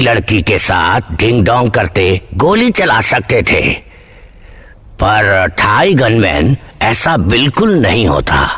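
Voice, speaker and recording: Using a put-on character voice, a man speaks at a very slow pace and medium pitch. His pitch swings very widely while his loudness stays very even. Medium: fan dub. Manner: deadpan.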